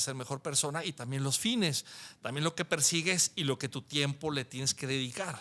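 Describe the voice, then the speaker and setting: The voice belongs to a man. The background is silent, making for a very clean recording. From Mexico, Guadalajara (Jalisco). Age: 60s. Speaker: architect. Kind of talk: interview conversation. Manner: halting, with repetitions.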